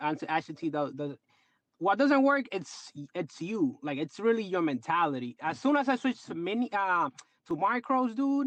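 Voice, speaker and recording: A man with a Dominican accent and a high voice, very wide pitch swings, a moderate pace, and a dry, close sound with no echo against a quiet background. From Dominican Republic. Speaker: trader. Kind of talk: casual chat. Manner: animated.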